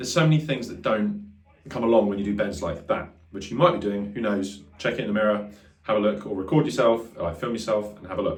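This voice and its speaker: Very fast and lively in intonation, a man speaks with a fairly low pitch in a space with audible room echo. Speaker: guitar teacher. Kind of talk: tutorial. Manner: casual, filler-heavy.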